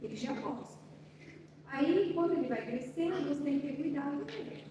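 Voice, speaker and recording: Someone soft-spoken talks with lively intonation. Audible room echo and noticeable background noise surround the voice. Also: woman. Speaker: speech therapist. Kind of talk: talk to a parents' support group.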